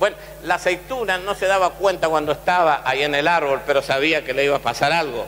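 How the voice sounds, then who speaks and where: A man speaks over noticeable background noise. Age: 60s. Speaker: pastor. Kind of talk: sermon.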